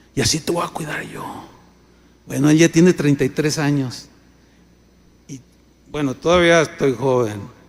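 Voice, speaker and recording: With noticeable background noise, a man of fairly high pitch speaks at a moderate pace with long, frequent pauses, big swings in loudness and ordinary pitch variation. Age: 60s. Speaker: pastor. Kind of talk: sermon.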